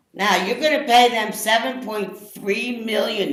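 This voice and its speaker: Loud speech at a very slow pace, with audible echo from the room. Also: woman. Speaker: public commenter at county meeting. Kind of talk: public comment.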